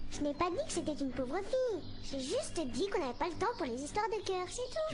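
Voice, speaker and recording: A cartoonish character voice that sounds female rattles along at a fairly quick pace, extremely high in pitch, over loud music in the background. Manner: sarcastic, bossy.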